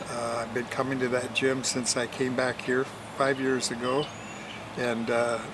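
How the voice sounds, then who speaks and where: Over noticeable background noise, a man speaks in an American accent at a medium pitch and moderate pace. His intonation is monotone and flat, broken by long, frequent pauses. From Portland, Oregon, US. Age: 80s+. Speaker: interview guest, host's father. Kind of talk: interview.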